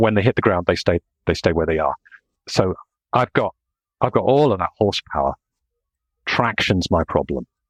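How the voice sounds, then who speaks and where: With a dry, close sound and no echo, a man with a very deep, low voice and vocal fry speaks at a moderate pace with lively intonation and long, frequent pauses. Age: 60s. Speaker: engineer. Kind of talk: casual chat. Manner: halting.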